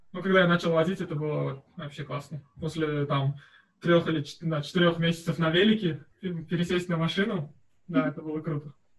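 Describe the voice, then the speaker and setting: Against a quiet background, a man with a fairly high pitch talks at a moderate pace. His intonation is fairly even, and he leaves long, frequent pauses. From Uzbekistan (Tashkent). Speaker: master's student. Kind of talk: interview answer. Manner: casual, conversational. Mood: relaxed, friendly. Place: home room.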